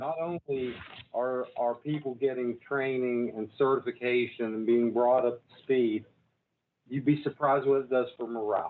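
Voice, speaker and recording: A man speaks at medium pitch, his loudness swinging widely. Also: moderate pace. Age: 60s. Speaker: public broadcasting executive. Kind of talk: board meeting remarks. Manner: halting, many fillers.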